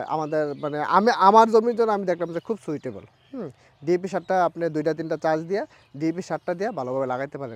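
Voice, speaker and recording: A man speaks in a high voice with lively intonation, and the sound is dry and close with no echo. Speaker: grass farmer. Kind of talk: casual interview.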